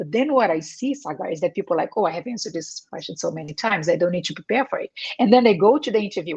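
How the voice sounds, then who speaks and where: Somewhat breathy and very fast, a woman at a medium pitch speaks with a Portuguese accent, very wide pitch swings and big swings in loudness. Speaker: career coach. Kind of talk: interview. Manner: hesitant, many fillers.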